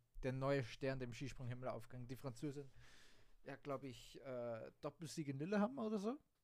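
Speech moves at a fairly slow pace. The pitch varies in an ordinary way. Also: man. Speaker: sports podcast host. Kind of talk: casual sports commentary monologue. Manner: unscripted, many fillers.

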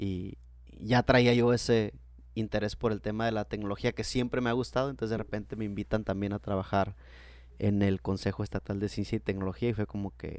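A man with a plain, everyday voice talks at a fairly quick pace in a fairly low pitch, with ordinary pitch variation. The recording is very clean, with a silent background. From Mexico, Baja California (Tijuana). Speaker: university lecturer and entrepreneur. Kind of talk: interview conversation.

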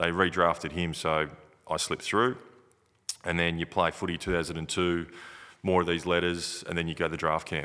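A man with an Australian accent, very deep and low in pitch, bright and sharp in tone, monotone and flat, with long, frequent pauses. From Broken Hill, New South Wales, Australia. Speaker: retired Australian rules footballer. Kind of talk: casual interview.

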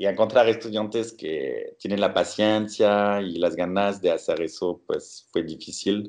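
The speaker talks at a fairly slow pace with a French accent. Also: man. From France, Bordeaux. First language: French (speaking Spanish). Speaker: scientist. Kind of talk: interview. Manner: halting.

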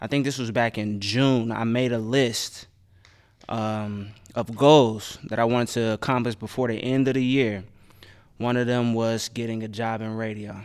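A man speaks in an American accent. His intonation is monotone and flat, at a moderate pace. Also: medium pitch for a man. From Dayton, Ohio. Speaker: radio DJ. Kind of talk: casual chat.

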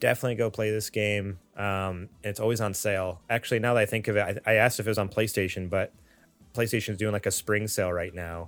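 A man at a very fast pace with monotone, flat intonation, over music in the background. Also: fairly low pitch for a man. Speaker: gaming podcast co-host. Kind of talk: casual chat.

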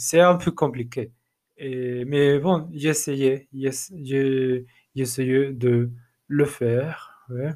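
Speaking at a very slow pace, a man with a non-native accent uses a medium pitch. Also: fairly even intonation. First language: not French (speaking French). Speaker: language learner, teacher. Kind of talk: solo podcast monologue. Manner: halting, many repetitions and fillers.

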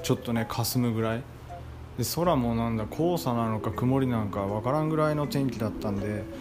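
Audible room echo hangs on a man's voice. Noticeable background noise is present too. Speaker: rice farmer and podcaster. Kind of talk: casual solo monologue. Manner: halting, many filler pauses.

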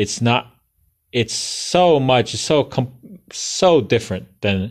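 A man talking at a fairly slow pace. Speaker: podcast host, coding instructor. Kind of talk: solo podcast monologue. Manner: halting, many self-corrections.

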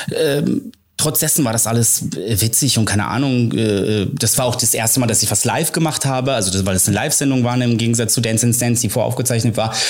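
Over music in the background and audible room echo, a man with a medium pitch speaks at a very fast pace with hardly any pauses, very even loudness and ordinary pitch variation. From grew up partly abroad, moved to Germany for school. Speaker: choreographer and creative director. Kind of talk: casual chat.

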